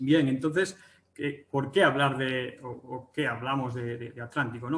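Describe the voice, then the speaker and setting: A man with a Galician accent, medium pitch, fairly even intonation and a fairly quick pace. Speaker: agricultural economics researcher. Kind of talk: webinar presentation. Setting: online webinar. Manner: hesitant, many fillers and restarts.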